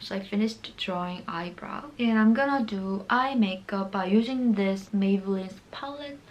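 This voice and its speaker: Someone with a Korean accent talks with hardly any pauses, the pitch moving in an ordinary way and the loudness swinging widely. The room echo is audible, and background noise is noticeable. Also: woman, medium pitch for a woman, moderate pace. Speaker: beauty vlogger. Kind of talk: makeup tutorial. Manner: casual, chatty.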